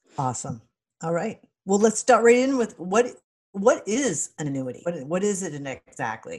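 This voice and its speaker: A woman speaks at a moderate pace with vocal fry and a medium pitch. Her pitch swings very widely. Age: 50s. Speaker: podcast host. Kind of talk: podcast interview.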